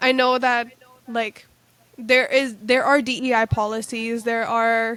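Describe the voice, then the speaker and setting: A woman's fairly high, monotone voice with flat intonation, dry and close with no echo. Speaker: podcast host. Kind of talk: interview conversation.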